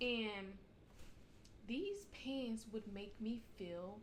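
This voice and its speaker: A woman's fairly high voice with ordinary pitch variation and audible room echo. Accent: American. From United States. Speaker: postal mail carrier, vlogger. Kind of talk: casual advice vlog. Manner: casual, conversational; loud.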